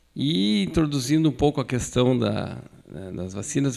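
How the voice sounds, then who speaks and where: A man with a plain, everyday voice talks at a fairly slow pace with lively intonation. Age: 60s. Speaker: physician, pediatric immunization speaker. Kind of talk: medical lecture.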